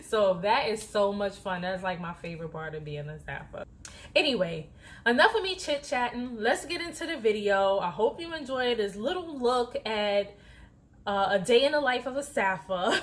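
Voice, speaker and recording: A woman speaks at a moderate pace and fairly high pitch in an animated tone, with very wide pitch swings and big swings in loudness. There is noticeable background noise. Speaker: flight attendant vlogger. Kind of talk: casual vlog talk. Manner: soft-spoken when others near.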